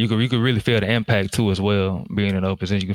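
Over a very clean, silent background, a man with a Southern US accent talks at a very fast pace with a fairly low pitch and fairly even intonation. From US South, Jackson, Mississippi. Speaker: Air Force firefighter. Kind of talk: interview.

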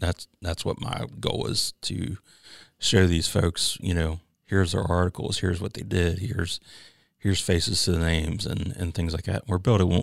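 In a very clean recording with a silent background, a man with vocal fry speaks at a very deep, low pitch and a moderate pace, with ordinary pitch variation. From Pennsylvania, Chambersburg. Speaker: university veterans coordinator, Marine veteran. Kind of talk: interview. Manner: halting, many fillers.

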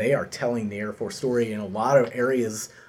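Fairly even in intonation, a man with a plain, everyday voice talks at a fairly quick pace. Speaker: podcast host. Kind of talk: interview podcast.

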